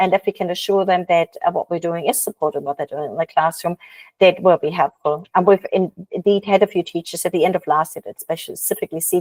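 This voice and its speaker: Very fast and with fairly even intonation, a woman talks at a fairly low pitch in a dry, close sound with no echo. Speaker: education manager hosting webinar. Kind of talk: webinar discussion. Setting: video call.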